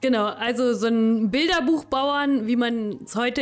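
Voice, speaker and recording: A woman speaks with a high pitch. The pitch variation is ordinary. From Lower Saxony, Königslutter area. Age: 30s. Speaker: agricultural scientist. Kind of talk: interview.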